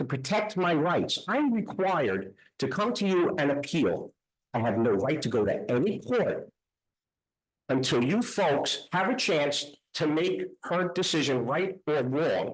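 The speaker talks in a Queens accent. The pace is fairly slow. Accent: Queens New York. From New York City (Queens). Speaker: appellant property owner. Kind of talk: public hearing argument. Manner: loud.

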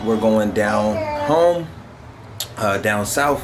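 Very slow speech from a man, with noticeable background noise. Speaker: family vlogger. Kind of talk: casual vlog chat. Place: home room.

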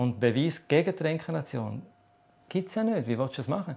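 Very fast and with lively intonation, a man speaks. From Switzerland. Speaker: author on reincarnation. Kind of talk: TV interview answer. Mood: calm, explanatory. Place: studio.

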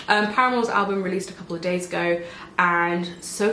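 Over light background noise and audible room echo, a woman speaks at a fairly low pitch with fairly even intonation. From England. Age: 20s. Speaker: beauty vlogger. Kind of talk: casual chat. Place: home room.

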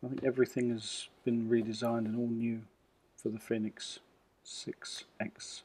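A man with a dark, mellow tone talks at a medium pitch and a moderate pace. His intonation is monotone and flat. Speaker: tech reviewer. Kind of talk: unboxing tutorial. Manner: casual.

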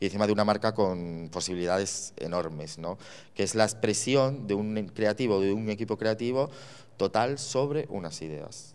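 This man speaks with a fairly low pitch. His pace is moderate and his pitch variation is ordinary. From Spain, Extremadura (Cáceres); Extremadura, Spain. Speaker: fashion creative director; guest. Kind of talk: lecture. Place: hall. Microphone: handheld.

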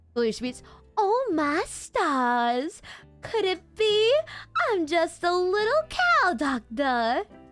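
A woman puts on a character voice in a Southern US accent, extremely high with very wide pitch swings. She speaks at a very slow pace while faint music plays in the background. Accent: Southern Belle.

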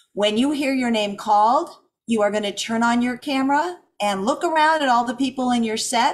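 Ordinary pitch variation in a woman's speech. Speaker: event host explaining rules. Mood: upbeat, friendly. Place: home room. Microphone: video call.

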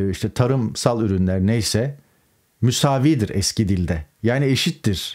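Against a quiet background, a dark, mellow voice moves at a very slow pace with lively intonation. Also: man. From Turkey. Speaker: political commentator, journalist. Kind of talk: political news commentary monologue. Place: home room.

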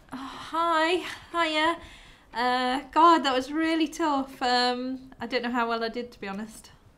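With a raised, projected voice, a woman speaks at a fairly slow pace, showing big swings in loudness and ordinary pitch variation. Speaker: job applicant after online interview. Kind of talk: casual relieved chat. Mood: relieved, nervous laughter. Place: home room.

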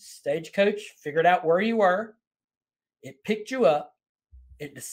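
The speaker is a man. He talks at a moderate pace. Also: quiet background. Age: 50s. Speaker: podcast host. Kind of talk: interview conversation. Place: home room.

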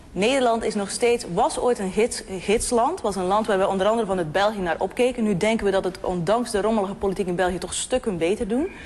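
A woman at medium pitch with ordinary pitch variation and a fairly quick pace, over noticeable background noise. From abroad, came to the Netherlands. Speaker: panel guest. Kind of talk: heated debate.

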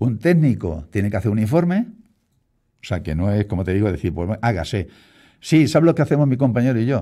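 The man's voice sits at a medium pitch with very wide pitch swings and a dark, mellow tone. He talks at a fairly quick pace over a quiet background. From Spain, Castilla-La Mancha (Puertollano); Castilla-La Mancha, Spain. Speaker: local politician, deputy mayor; radio guest. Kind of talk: radio interview. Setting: radio studio. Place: studio. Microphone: studio mic.

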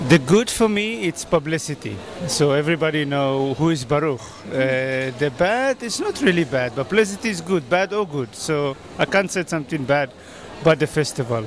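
A man speaks at a moderate pace in a dry sound with no echo, with light background noise. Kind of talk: interview answer. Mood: cheerful, friendly. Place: market. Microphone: handheld.

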